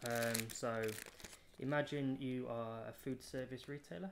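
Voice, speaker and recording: Male speaker at a moderate pace amid noticeable background noise. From United Kingdom. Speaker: start-up marketing lead. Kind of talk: interview answer. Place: hall. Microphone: phone near.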